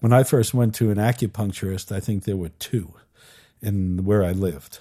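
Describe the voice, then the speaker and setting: A man's fairly low, dark, mellow voice with ordinary pitch variation at a moderate pace, on a very clean recording with a silent background. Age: 70s. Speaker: educator and podcast host. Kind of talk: interview.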